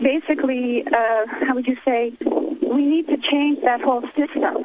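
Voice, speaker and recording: A woman with a high voice talks fairly slowly and with fairly even intonation as noticeable background noise continues. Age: 60s. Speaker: caller. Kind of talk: call-in to talk radio. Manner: halting.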